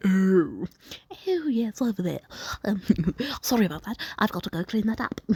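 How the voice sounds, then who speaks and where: A female-sounding voice puts on a character at medium pitch. The pace is moderate, broken by long, frequent pauses. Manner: polite, sheepish.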